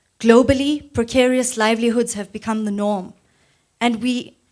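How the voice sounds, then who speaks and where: A woman with a plain, everyday voice, fairly high in pitch, speaks at a moderate pace with fairly even intonation on a very clean recording with a silent background. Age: 20s. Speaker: youth speaker at a political campaign launch. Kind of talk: public speech. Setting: church hall event with audience. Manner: formal.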